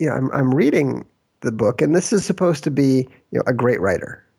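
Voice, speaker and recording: A man's fairly high voice with a dark, mellow tone and vocal fry, lively intonation and a fairly quick pace. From Minnesota, US Midwest. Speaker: author and game designer. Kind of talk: interview.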